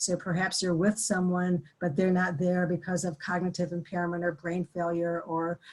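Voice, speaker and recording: Here is a woman with a fairly low pitch. Her voice is somewhat breathy. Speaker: grief and trauma educator. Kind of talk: webinar presentation. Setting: online webinar. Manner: fast.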